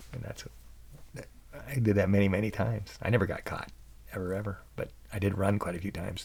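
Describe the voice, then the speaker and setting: Soft-spoken and somewhat breathy, a man with an American accent talks at a fairly quick pace in a fairly low pitch. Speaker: podcast host and musician. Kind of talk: casual storytelling monologue. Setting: home recording at night. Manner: halting.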